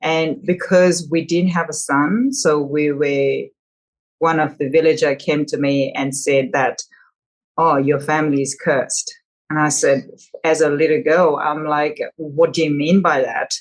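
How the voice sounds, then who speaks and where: A woman speaks with a Nepali accent at a fairly slow pace. Her very deep, low voice keeps a fairly even intonation. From Nepal, village in Lamjung. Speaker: wellness coach, community founder. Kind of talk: podcast interview. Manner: halting.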